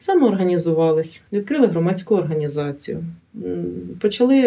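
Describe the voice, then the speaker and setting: A woman with a plain, everyday voice speaks at a moderate pace and a fairly low pitch with lively intonation. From Ukraine, Chernihiv. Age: 40s. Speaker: paramedic and community organization head. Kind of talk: interview testimony.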